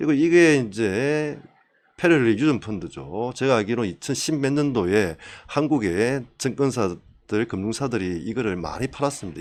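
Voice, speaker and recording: A man's voice makes very wide pitch swings. The recording is very clean with a silent background. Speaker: YouTube commentator on science and investing. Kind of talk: solo monologue commentary. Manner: fast. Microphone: new microphone, gift from a junior colleague.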